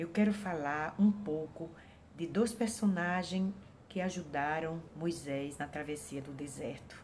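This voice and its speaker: Her loudness swinging in big jumps, a woman talks very slowly. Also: fairly low pitch for a woman, ordinary pitch variation. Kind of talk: Bible devotional talk. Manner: halting, with many fillers.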